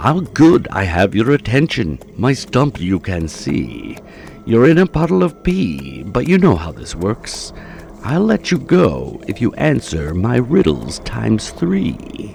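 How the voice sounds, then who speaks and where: Over clear background music, a man puts on a character voice, pitched fairly low and delivered at a fairly slow pace. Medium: read story. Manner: rhyming, cocky, mocking.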